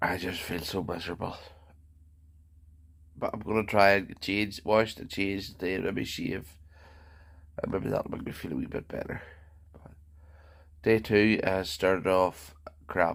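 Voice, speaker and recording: Pausing long and often, a man speaks in a fairly low pitch with monotone, flat intonation. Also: moderate pace, big swings in loudness. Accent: Northern Irish. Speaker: vlogger. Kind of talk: video diary.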